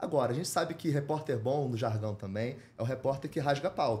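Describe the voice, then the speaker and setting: Lively intonation from a man with a somewhat breathy voice. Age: 40s. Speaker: journalist and documentary producer. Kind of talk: interview.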